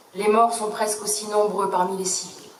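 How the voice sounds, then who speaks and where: Solemn in tone, a woman speaks at a fairly slow pace with a fairly high pitch over noticeable background noise. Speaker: sub-prefect, government official. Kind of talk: official commemorative speech read aloud. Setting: outdoors, public ceremony. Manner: solemn, formal.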